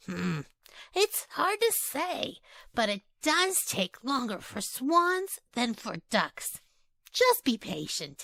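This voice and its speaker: A woman's put-on character voice, high-pitched with very wide swings, at a very slow pace. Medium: read story.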